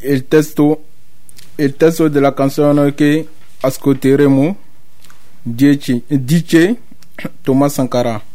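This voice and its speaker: A man with a fairly high pitch speaks at a very slow pace with fairly even intonation and long, frequent pauses. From Ivory Coast. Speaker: asylum seeker. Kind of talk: community radio chat. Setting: radio studio.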